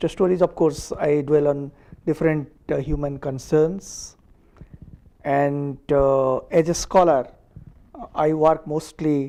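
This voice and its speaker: A man with an Odisha accent speaks very slowly, leaving long, frequent pauses. His voice is fairly high, with a dark, mellow tone and fairly even intonation. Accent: Indian (Odia) English. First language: Odia. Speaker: diplomat. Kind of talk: interview. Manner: hesitant, many fillers.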